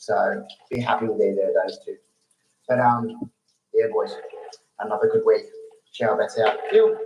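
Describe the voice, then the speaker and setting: Long, frequent pauses break up this man's speech. He talks at a moderate pace with an Australian accent. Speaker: listener caller. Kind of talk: recorded voicemail tips.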